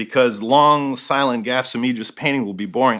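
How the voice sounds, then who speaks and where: The delivery comes at a fairly quick pace. Its tone is bright and sharp. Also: man. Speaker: painter. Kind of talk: tutorial. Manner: fast; casual.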